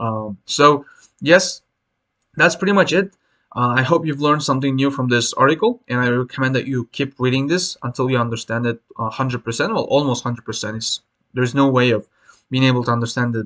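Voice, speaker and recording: A man with a non-native accent and a bright, sharp tone talks at a fairly quick pace with ordinary pitch variation, the sound dry and close with no echo. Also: medium pitch for a man. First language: not English. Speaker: English exam teacher. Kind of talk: tutorial. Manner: hesitant, many fillers.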